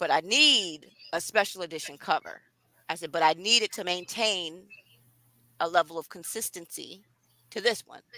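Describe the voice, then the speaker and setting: An animated woman speaks in a bright, sharp tone with ordinary pitch variation, big swings in loudness and long, frequent pauses. The recording is very clean, dry and close, with no echo and a silent background. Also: fairly low pitch for a woman, moderate pace. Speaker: author. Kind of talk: live stream chat about her book.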